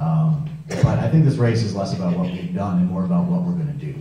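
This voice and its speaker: A man talks at a fairly quick pace with a medium pitch and very wide pitch swings. Audible room echo and noticeable background noise are present. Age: 30s. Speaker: political candidate. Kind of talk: campaign speech.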